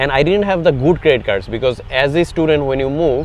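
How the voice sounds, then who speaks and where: With ordinary pitch variation and a fairly quick pace, a man's speech comes through noticeable background noise. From Bangladesh. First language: Bengali. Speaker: tech startup founder. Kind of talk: interview. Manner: hesitant, many fillers.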